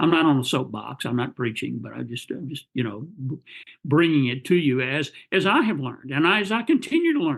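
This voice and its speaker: Speaking at a fairly quick pace, a man uses lively intonation and a fairly high pitch. His voice has vocal fry. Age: 70s. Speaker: speech pathology researcher and professor. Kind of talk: interview podcast.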